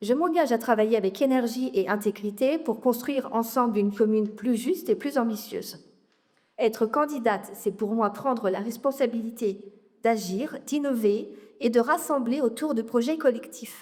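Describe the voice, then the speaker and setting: A woman with a normal speaking voice, a fairly high pitch, ordinary pitch variation and a moderate pace. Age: 40s. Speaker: local election candidate. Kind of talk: campaign speech at public meeting. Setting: public meeting with audience.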